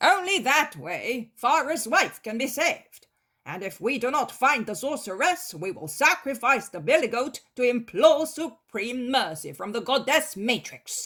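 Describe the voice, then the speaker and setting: Put on as a character, a fairly high, female-sounding voice runs at a moderate pace with hardly any pauses. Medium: read story.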